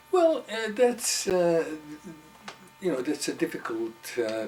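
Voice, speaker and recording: A man delivers his words very slowly, with lively intonation. Music can be heard behind him. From Hungary. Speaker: psychotherapist. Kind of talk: interview answer.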